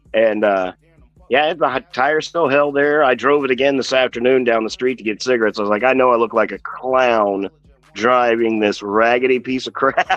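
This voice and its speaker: This is a man with an ordinary speaking voice, medium in pitch. He speaks at a moderate pace with ordinary pitch variation. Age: 50s. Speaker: auto body painter and toy collector streamer. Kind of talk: casual chat.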